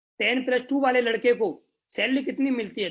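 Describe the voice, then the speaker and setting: This man's voice sits at an extremely high pitch. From northern India, Greater Noida. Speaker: network marketing leader. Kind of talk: motivational talk.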